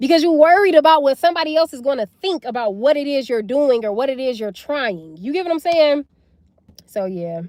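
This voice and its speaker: A loud, animated woman with a high voice talks at a fairly quick clip, her pitch swinging very widely, in a dry, close recording with no echo. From US South. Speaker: livestreamer. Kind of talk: live stream chat. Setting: livestream.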